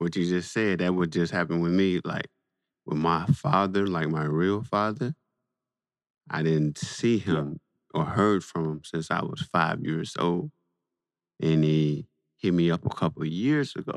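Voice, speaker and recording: A man with an American accent speaks at a very deep, low pitch and a fairly slow pace, with ordinary pitch variation. Long, frequent pauses break up his speech, and the sound is dry and close with no echo. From Saginaw, Michigan. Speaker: podcast host and comic writer. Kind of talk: casual chat. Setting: phone call.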